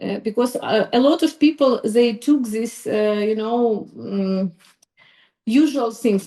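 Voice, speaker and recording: A woman speaks with a fairly high pitch and a non-native accent. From Ukraine. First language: Ukrainian. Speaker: psychologist. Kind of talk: podcast interview. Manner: halting, many fillers.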